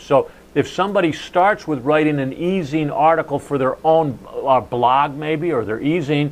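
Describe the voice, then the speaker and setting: With an American accent, a man talks at a moderate pace in a plain, everyday voice. His pitch sits fairly high, with ordinary variation. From New Jersey. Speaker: sales and marketing speaker. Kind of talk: casual chat.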